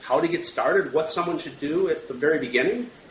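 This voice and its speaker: Noticeable background noise accompanies a man in an American accent whose intonation is lively. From Michigan, US. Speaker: podcast host. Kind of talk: podcast interview.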